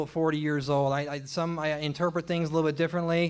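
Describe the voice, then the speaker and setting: This voice has an American accent. It moves at a very fast pace. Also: man. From Oklahoma. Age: 40s. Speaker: stand-up comedian. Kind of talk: stand-up. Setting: stage with audience. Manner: halting.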